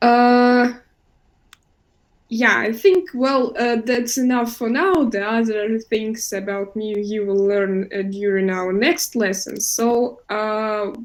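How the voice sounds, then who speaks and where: A woman's fairly high voice with a Russian accent, ordinary pitch variation and a very slow pace. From Russia, Moscow. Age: 20s. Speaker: English teacher. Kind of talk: online class. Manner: hesitant, many fillers.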